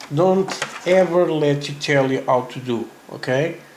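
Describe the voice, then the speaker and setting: Noticeable background noise and audible room echo surround a man speaking at a very slow pace. His pitch is fairly high, with ordinary pitch variation. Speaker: scale modeler. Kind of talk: tutorial. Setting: live stream from a hobby store. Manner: halting.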